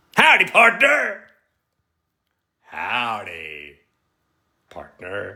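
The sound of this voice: A man puts on a raspy character voice in a Texan accent. He talks at a very slow pace with long, frequent pauses. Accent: Texan cowboy.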